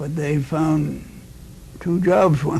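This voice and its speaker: Speaking fairly slowly at a fairly high pitch with ordinary pitch variation, a man is heard with audible room echo. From Nova Scotia, Canada. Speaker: war veteran. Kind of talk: interview. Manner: halting.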